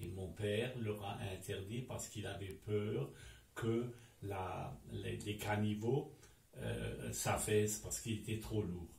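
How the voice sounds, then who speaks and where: A fairly low male voice at a very slow pace, with ordinary pitch variation. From Alsace, France. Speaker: WWII civilian witness. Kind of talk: interview answer.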